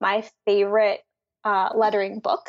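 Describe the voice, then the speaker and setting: With an American accent, a woman speaks in a normal speaking voice at a moderate pace and fairly high pitch against a quiet background. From Philadelphia, US. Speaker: graphic designer and letterer. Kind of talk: interview.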